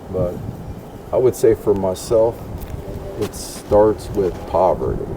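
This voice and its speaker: A man with an American accent speaks at a very slow pace amid noticeable background noise. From US Northeast, New Jersey. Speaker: vlogger interviewer. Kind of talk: casual interview. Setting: outdoors at night.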